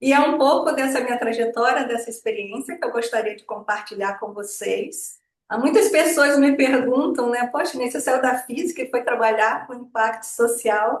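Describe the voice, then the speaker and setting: Speaking high for a woman at a moderate pace, she barely pauses, and her loudness swings widely. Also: ordinary pitch variation. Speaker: social impact consultant. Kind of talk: webinar presentation.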